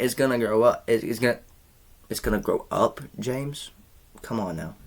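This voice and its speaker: A man speaks at a moderate pace. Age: 20s. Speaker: YouTuber. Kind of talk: storytime vlog. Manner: animated.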